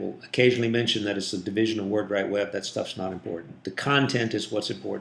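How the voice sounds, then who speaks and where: Audible room echo surrounds the speech. It comes at a very fast pace with ordinary pitch variation. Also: man. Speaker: digital marketing agency owner. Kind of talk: tutorial. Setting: office conference room.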